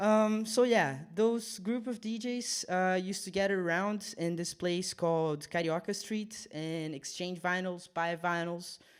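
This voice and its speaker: In a Portuguese accent, a man with a high pitch speaks at a fairly slow pace with ordinary pitch variation, on a very clean recording with a silent background. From Brazil, Rio de Janeiro. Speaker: DJ. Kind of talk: casual radio chat. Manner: hesitant, many fillers.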